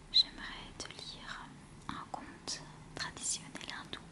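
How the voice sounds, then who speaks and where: Through noticeable background noise, a woman speaks very slowly. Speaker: ASMR creator. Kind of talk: casual talk to camera. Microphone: studio mic.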